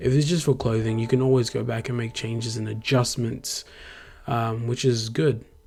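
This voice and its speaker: Over noticeable background noise, a man with an Australian accent speaks at a fairly quick pace in a medium pitch with fairly even intonation. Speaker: graphic designer, YouTuber. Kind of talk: tutorial-style vlog narration. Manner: casual, with filler ums.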